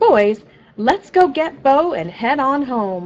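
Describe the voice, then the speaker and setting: Putting on a character voice, a woman speaks fairly slowly in a high pitch with very wide pitch swings. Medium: read story. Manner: calling out, fussing.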